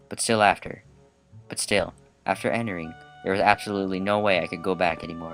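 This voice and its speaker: A fairly quick pace over music in the background. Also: man. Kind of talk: visual novel read-aloud let's play. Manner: casual, joking.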